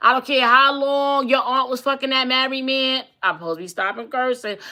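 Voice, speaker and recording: In a very clean recording with a silent background, a woman speaks at a high pitch in a raised, projected voice, her tone animated, bright and sharp, her pace fairly quick and her pitch variation ordinary. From East New York, Brooklyn. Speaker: talk show host and relationship coach. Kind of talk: casual livestream talk show monologue.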